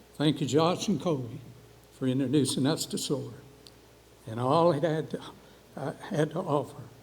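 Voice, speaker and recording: This man has an Appalachian accent. His voice is somewhat breathy, with fairly even intonation. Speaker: award recipient, coffee shop owner. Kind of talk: award acceptance speech.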